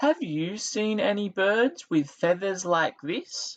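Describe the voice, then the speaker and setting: In a put-on character voice, a man talks at a fairly slow pace with a high pitch. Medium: read story. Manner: earnest, curious.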